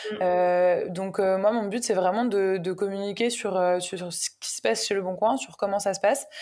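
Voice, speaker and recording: Medium in pitch with a dark, mellow tone, a woman speaks with fairly even intonation. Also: moderate pace. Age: 20s. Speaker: community manager. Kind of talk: interview.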